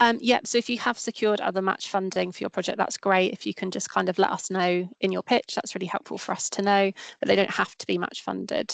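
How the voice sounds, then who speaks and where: Speaking very fast with hardly any pauses, a woman keeps a fairly even intonation. The sound is dry and close, with no echo. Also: medium pitch for a woman. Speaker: grant fund officer. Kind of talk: webinar Q&A.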